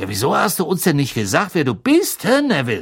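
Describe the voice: A man puts on a character voice, fairly high-pitched with a slightly husky edge, swinging very widely in pitch at a fairly quick pace on a very clean recording with a silent background.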